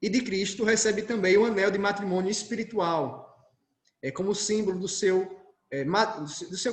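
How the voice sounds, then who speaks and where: A man's high-pitched voice with audible room echo. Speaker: Carmelite friar giving a talk. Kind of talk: lecture.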